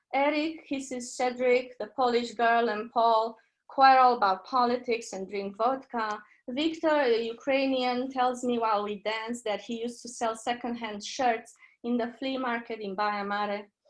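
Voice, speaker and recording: Against a quiet background, a woman with a Romanian accent speaks at a moderate pace in a high pitch with fairly even intonation. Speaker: poet. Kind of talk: poetry reading. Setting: video call.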